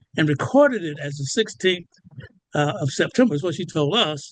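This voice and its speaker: Speaking very fast, a man with an American accent uses lively intonation. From US South, rural Georgia. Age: 80s+. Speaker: retired city councilman. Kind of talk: casual radio interview. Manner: halting, with repetitions.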